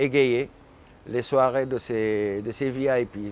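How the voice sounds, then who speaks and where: This man's voice sits at medium pitch. His intonation stays fairly even. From Senegal, Saint-Louis. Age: 60s. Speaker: musician. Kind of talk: interview.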